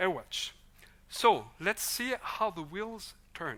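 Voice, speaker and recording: A very slow delivery in a Swiss French accent, on a very clean recording with a silent background. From French-speaking Switzerland. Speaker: vocational education expert. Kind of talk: conference presentation.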